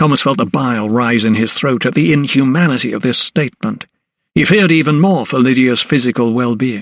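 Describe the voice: The pitch moves in an ordinary way through this plain reading aloud. Behind it, all is quiet.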